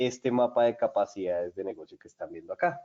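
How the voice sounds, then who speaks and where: With a Colombian accent, a man speaks at a moderate pace. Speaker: software solutions presenter. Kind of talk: webinar product demo. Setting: online webinar.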